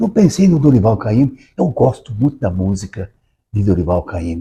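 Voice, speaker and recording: With a dark, mellow tone and a somewhat breathy quality, a man of fairly low pitch talks at a moderate pace with lively intonation. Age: 80s+. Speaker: author. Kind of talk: interview conversation. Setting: recorded at a literary academy. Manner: halting, repeats words.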